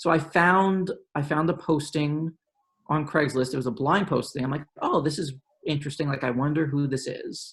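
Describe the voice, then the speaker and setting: A man with a New York accent speaks at a fairly high pitch, somewhat breathy, with ordinary pitch variation. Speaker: policy professional. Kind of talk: panel discussion.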